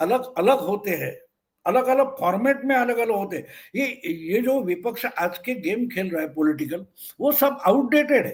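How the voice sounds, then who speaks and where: A man speaks at an extremely high pitch with lively intonation. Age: 70s. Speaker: senior political commentator. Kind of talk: political interview commentary. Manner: occasional stammering restarts.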